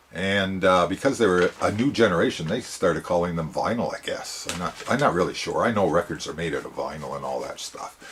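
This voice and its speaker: Over noticeable background noise, a man with a very deep, low pitch talks at a fairly quick pace with lively intonation and hardly any pauses. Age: 70s. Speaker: record collector vlogger. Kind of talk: casual monologue. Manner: halting, many fillers.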